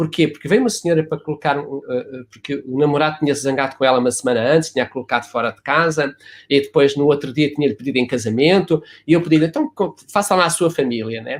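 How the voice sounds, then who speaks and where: This man's pitch is fairly high. He speaks very fast. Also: ordinary pitch variation. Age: 70s. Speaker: family constellation therapist. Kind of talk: casual chat. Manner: animated; hesitant with fillers.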